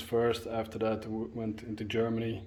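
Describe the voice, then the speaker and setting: Soft-spoken and fairly slow, a man talks at a medium pitch with a dark, mellow tone. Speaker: history tour guide. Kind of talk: casual talk to camera. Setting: outdoors. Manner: soft-spoken, quiet; hesitant, many filler sounds.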